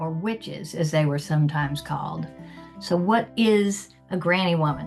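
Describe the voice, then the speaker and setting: Music plays in the background. A woman speaks at a moderate pace in a very deep, low pitch. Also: ordinary pitch variation. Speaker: writer and interviewer. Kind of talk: podcast introduction.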